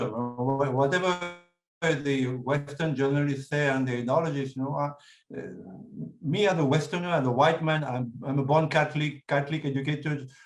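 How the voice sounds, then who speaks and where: Speaking with a French accent, a man with a fairly high voice talks at a moderate pace with ordinary pitch variation. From France. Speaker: writer and speaker on India. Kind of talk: talk with audience Q&A. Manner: hesitant, many fillers.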